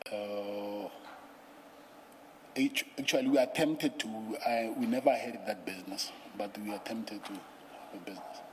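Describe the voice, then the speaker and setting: Soft-spoken, a man talks at a moderate pace with long, frequent pauses and big swings in loudness. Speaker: witness at a commission of inquiry. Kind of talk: testimony. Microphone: too quiet, far from the mic.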